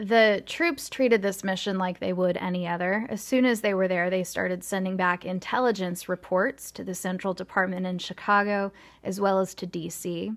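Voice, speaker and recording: A woman with an ordinary speaking voice talks at medium pitch with fairly even intonation. Her moderate pace has hardly any pauses, on a very clean recording with a silent background. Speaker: podcast host. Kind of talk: true-crime narration. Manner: measured, steady storytelling pace; conversational, lightly informal asides.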